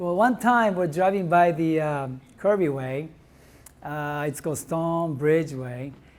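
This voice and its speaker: Very slow speech from a man with a Japanese accent, fairly high in pitch, in audible room echo. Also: ordinary pitch variation. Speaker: restaurant owner. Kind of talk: testimony. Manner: animated.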